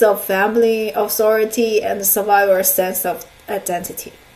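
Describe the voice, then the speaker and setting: With a Chinese accent, a woman speaks at a moderate pace and fairly high pitch, amid noticeable background noise and audible room echo. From China. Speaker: counselor and lecturer. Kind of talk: lecture. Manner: halting, many fillers.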